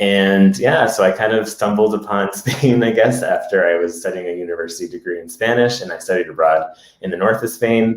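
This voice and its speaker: A man with an American accent and a plain, everyday voice, fairly low in pitch with ordinary pitch variation, fairly quick with hardly any pauses, and big swings in loudness. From US, Massachusetts. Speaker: podcast co-host. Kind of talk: casual chat. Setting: live Facebook video stream.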